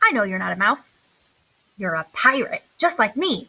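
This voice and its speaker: A woman's put-on character voice, fairly high in pitch, raised and projected. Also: moderate pace. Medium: read story. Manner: playful, dramatic.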